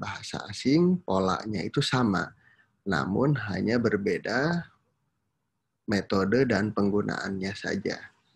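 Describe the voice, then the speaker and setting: Over a quiet background, a man with a fairly low pitch speaks at a fairly slow pace with lively intonation. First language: Sundanese (speaking Indonesian). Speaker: university lecturer. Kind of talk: lecture. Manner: frequent hesitation fillers.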